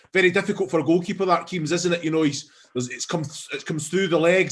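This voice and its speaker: With a strong Scottish accent, a man speaks at a high pitch with fairly even intonation. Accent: thick Scottish. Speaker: football pundit. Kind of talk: post-match analysis chat. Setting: stadium broadcast.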